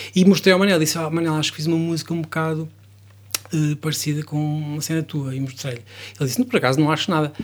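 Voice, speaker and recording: This man talks at a very fast pace, with a fairly high pitch and ordinary pitch variation. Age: 40s. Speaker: songwriter and musician. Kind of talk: interview.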